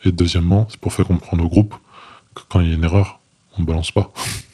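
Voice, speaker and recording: Somewhat breathy speech comes through with a dark, mellow tone. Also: man. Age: 20s. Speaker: former special forces soldier. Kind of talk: interview testimony. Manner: halting, with many fillers and repetitions.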